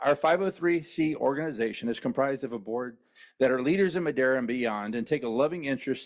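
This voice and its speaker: A man with a Southern US accent talks at a very fast pace, his medium pitch showing ordinary variation against a quiet background. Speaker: foundation volunteer speaking at public comment. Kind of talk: public comment speech. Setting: school board meeting.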